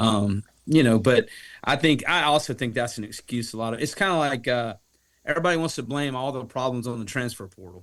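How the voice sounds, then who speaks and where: A man speaks at a fairly quick pace in a normal speaking voice, with a medium pitch and ordinary pitch variation. His loudness swings widely, and the recording is very clean with a silent background. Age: 50s. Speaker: baseball coach. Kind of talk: casual chat.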